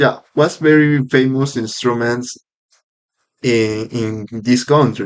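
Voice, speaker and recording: A man with a Spanish accent speaks very slowly at medium pitch. His intonation stays fairly even. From Peru. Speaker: podcaster practicing English. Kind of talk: casual monologue podcast. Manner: halting, with fillers and self-corrections.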